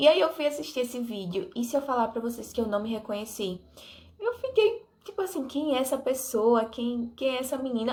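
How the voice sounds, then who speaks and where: A woman talks at a moderate pace in a high pitch. Her intonation is lively. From Brazil, Alagoas (interior). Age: 20s. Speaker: vlogger. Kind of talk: casual vlog talk to camera. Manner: animated.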